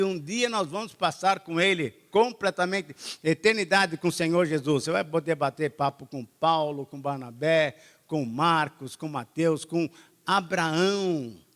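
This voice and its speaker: This man sounds dry and close-miked, with no echo at all. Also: very clean recording, silent background. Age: 70s. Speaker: pastor. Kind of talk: sermon. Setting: church with congregation.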